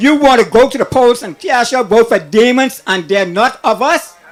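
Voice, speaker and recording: A man speaks at an extremely high pitch with ordinary pitch variation and a moderate pace. Crowd noise fills the background. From Bahamas, Long Island. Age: 60s. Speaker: caller. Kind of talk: call-in rant. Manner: animated.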